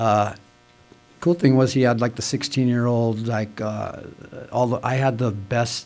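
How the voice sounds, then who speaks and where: With music in the background, a man speaks at a medium pitch and moderate pace in a monotone, flat intonation. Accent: American. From Santa Monica, California. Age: 60s. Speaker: speaker at AA meeting. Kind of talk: testimony. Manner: casual, filler-heavy.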